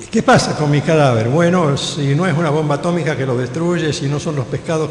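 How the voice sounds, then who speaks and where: A man's voice with ordinary pitch variation, noticeable background noise and audible room echo. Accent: Rioplatense. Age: 70s. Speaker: pastor. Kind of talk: sermon.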